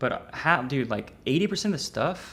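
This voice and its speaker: A man's voice with lively intonation. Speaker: trading educator streamer. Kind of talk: livestream tutorial. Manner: casual, slangy.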